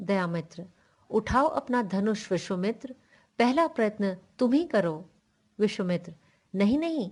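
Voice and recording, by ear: Lively intonation marks a natural voice reading aloud in a quiet background.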